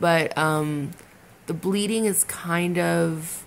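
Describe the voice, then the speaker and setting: Over light background noise, a woman speaks with a fairly low pitch. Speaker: vlogger. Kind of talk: casual vlog chat. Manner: slow, drowsy, swollen-mouthed speech. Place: home room. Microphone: phone near.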